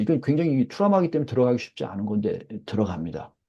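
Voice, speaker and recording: Here a man speaks at a fairly high pitch. His tone is dark and mellow. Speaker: professor. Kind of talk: lecture. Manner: fast.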